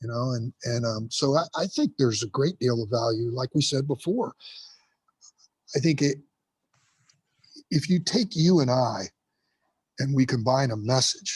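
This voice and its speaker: Somewhat breathy, a man talks at a moderate pace with long, frequent pauses, recorded dry and close with no echo. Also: medium pitch for a man, ordinary pitch variation. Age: 60s. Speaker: firefighter and motivational speaker. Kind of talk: podcast interview. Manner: repetitive, halting restarts.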